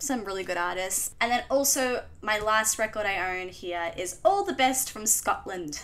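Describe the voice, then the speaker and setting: At a moderate pace and with hardly any pauses, a woman speaks in a strong Australian accent at a fairly high pitch. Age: 20s. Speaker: vlogger. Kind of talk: casual chat. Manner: casual, hesitant.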